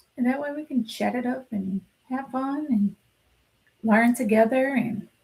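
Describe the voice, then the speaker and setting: A woman at a fairly high pitch and moderate pace, with ordinary pitch variation and long, frequent pauses. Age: adult. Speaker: sewing teacher. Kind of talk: tutorial, live stream. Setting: live stream.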